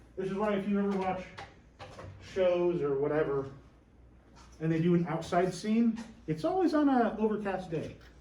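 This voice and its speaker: A loud man with a high pitch talks at a moderate pace in an animated tone, with lively intonation and long, frequent pauses. Noticeable background noise and audible room echo surround him. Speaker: teacher. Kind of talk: lecture.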